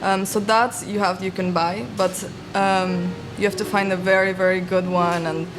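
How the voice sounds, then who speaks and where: Soft-spoken, a woman talks at a medium pitch in a monotone, flat intonation. Noticeable background noise sits behind her. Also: moderate pace. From Mexico. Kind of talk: interview answer.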